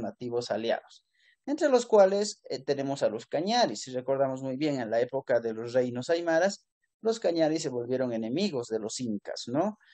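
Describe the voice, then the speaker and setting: Intonation is lively and the pace moderate. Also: man. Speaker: history teacher. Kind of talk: lecture. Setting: classroom. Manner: halting.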